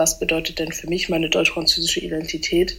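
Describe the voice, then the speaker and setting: A woman's fairly quick speech over noticeable background noise. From German-French bilingual household. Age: 20s. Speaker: student. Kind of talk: testimony.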